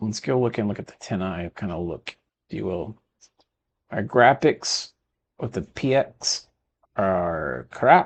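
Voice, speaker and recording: A man with a slight Texan accent and lively intonation. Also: quiet background. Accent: Texas accent, slight. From Texas. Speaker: video game streamer. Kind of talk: gameplay commentary; casual chat. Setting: live stream. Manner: casual, chatty.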